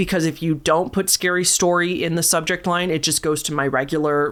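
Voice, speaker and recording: Ordinary pitch variation marks this woman's fairly low voice. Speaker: storytelling channel host. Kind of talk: reading aloud listener stories with commentary. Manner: casual.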